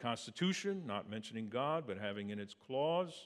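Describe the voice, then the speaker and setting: A man with an American accent speaks at a moderate pace, with an unremarkable speaking voice. His intonation is lively. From Pennsylvania, near Philadelphia. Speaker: preacher. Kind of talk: sermon.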